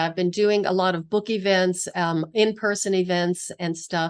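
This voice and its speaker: A woman with an American accent talks in a plain, everyday voice, using fairly even intonation over a quiet background. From US, western Pennsylvania. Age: 60s. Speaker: physical therapist and author. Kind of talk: interview conversation.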